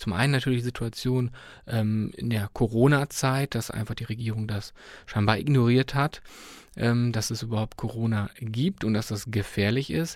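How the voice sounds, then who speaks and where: In a very clean recording with a silent background, a man speaks at a moderate pace with medium pitch, fairly even intonation and a plain, everyday voice. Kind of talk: radio interview. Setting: studio.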